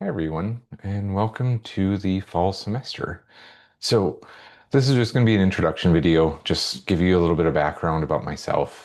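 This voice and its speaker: The speaker has a Midwestern accent and lively intonation. The pace is fairly quick, over a quiet background. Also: man, very deep, low pitch for a man. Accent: Midwestern, long O's. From US Midwest, central Minnesota. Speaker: psychology professor. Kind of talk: course introduction video. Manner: casual with many fillers.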